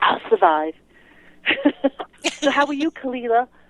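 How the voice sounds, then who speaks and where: A woman's voice swings very widely in pitch. The sound is dry and close, with no echo. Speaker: caller sharing a personal experience. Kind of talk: casual chat. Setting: phone call.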